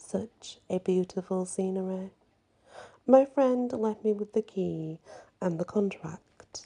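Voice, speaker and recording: The voice is soft-spoken and moves at a very slow pace. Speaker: ASMR storyteller. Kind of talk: ghost story reading.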